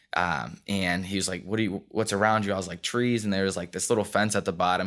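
Against a silent background in a very clean recording, a man talks in an unremarkable speaking voice, fairly low in pitch with fairly even intonation. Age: 20s. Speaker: CrossFit athlete and gym owner. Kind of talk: interview.

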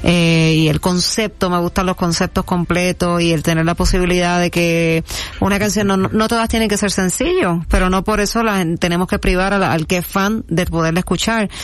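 This woman has a plain, everyday voice, fairly low in pitch, with fairly even intonation. She talks at a moderate pace with hardly any pauses and very even loudness. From Puerto Rico, Toa Baja. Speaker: singer-songwriter. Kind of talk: casual interview.

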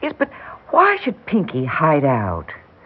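A woman puts on a character voice that is low-pitched with a slightly husky edge, moving at a fairly slow pace through very wide pitch swings.

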